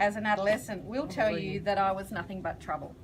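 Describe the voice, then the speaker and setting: There is noticeable background noise as a woman with an Australian accent speaks at a fairly high pitch. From Australia, Gunnedah, New South Wales. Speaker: charity founder and counsellor. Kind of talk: public speech. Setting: launch event with audience.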